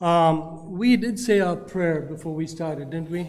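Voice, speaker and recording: Over music in the background, a man with a non-native accent speaks very slowly in a high voice. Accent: foreign accent, noticeable. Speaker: public commenter at county meeting. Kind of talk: public comment speech.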